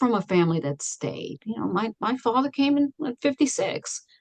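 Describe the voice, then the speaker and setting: A woman with a New York accent, very wide pitch swings, and a moderate pace. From Astoria, Queens, New York. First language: Italian. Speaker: guest. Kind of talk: casual chat.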